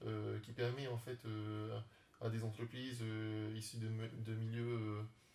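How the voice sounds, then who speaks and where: A man talks in a medium pitch with monotone, flat intonation and a somewhat breathy sound. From French Polynesia (Tahiti). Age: 30s. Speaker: startup founder and beekeeper. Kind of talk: interview. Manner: halting, many fillers.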